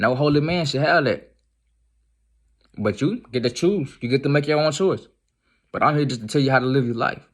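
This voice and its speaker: Speaking at a fairly quick pace, a man uses a fairly high pitch with ordinary pitch variation and takes long, frequent pauses. The recording is very clean, with a silent background. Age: young. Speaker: street preacher. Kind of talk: religious exhortation to camera. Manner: halting, repetitive; emphatic, urgent.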